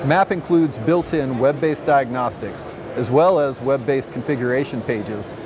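A man at a medium pitch, with ordinary pitch variation, a moderate pace and clear background noise.

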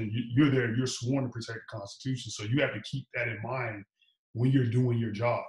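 A man talks at a fairly quick pace in a monotone, flat voice that is somewhat breathy. The background is quiet, but audible room echo comes through. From Chicago. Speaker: police officer; guest. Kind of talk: casual interview. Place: home room. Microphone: video call.

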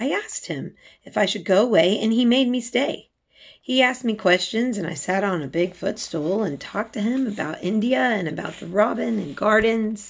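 The voice has vocal fry and very wide pitch swings. It moves at a moderate pace. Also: woman. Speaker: reader of a children's novel. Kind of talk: read-aloud storytelling. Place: home room. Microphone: phone near.

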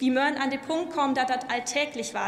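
A woman's fairly even intonation in audible room echo. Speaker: politician, member of parliament. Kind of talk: parliamentary speech. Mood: warm, lightly humorous. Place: hall. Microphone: podium.

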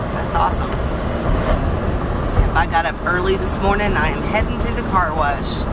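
Against loud background noise, a woman speaks at a fairly slow pace. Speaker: van dweller vlogger. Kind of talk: casual vlog chat. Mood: cheerful, upbeat. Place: car. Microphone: phone near.

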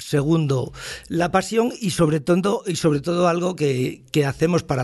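His voice somewhat breathy, a man speaks with ordinary pitch variation. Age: 60s. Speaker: advertising agency founder. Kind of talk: casual chat.

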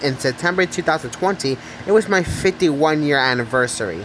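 The speaker talks at a fairly quick pace. Background noise is noticeable. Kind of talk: casual talk to camera.

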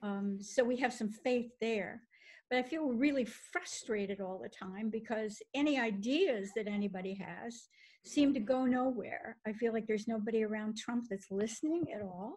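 A woman speaks at a moderate pace with a fairly high pitch. Her voice is somewhat breathy, with ordinary pitch variation. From Kentucky. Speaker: reader participant; reader taking part in a discussion. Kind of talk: panel discussion. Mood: worried, frustrated. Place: home room. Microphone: video call.

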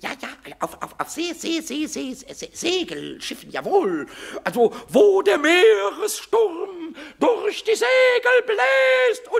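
A man puts on a character voice at an extremely high pitch, with very wide pitch swings. He speaks at a very slow pace. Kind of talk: children's audio drama. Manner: excitable, stammering.

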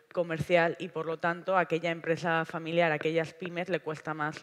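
A woman's fairly low voice, fairly quick and monotone with flat intonation. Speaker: panelist. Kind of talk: panel talk. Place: stage. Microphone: headset.

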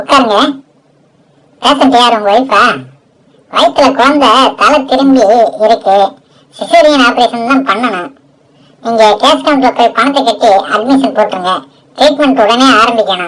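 A woman performs a put-on character voice, high in pitch. She speaks at a fairly slow pace with very even loudness. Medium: audio drama. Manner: brisk, businesslike.

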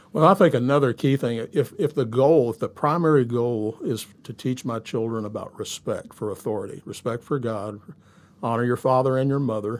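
A man talks at a medium pitch with ordinary pitch variation. He has a Southern US accent. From US South, Shreveport, Louisiana; Louisiana. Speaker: pastor; pastor guest. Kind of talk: casual interview. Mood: calm, measured, earnest. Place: studio. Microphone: studio mic.

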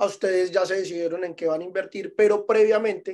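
A man talks at a fairly quick pace in a high pitch. The background is quiet. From Medellín, Colombia. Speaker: vacation rental property manager; guest. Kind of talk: webinar presentation. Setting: Zoom webinar. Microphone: video call.

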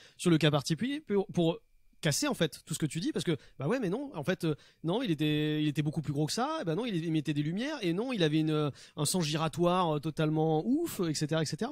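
A man's fairly high, slightly mellow voice with lively intonation and a fast pace, on a very clean recording with a silent background

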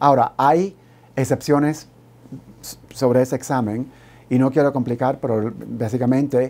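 A dark, mellow male voice at medium pitch, fairly slow and fairly even, broken by long, frequent pauses. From Cuba. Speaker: law professor. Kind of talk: educational TV interview.

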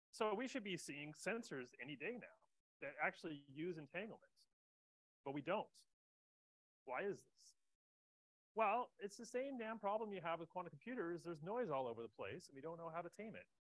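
A man's high-pitched voice at a fairly quick pace, dry with no echo, against a quiet background. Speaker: conference speaker. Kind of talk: lecture. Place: hall.

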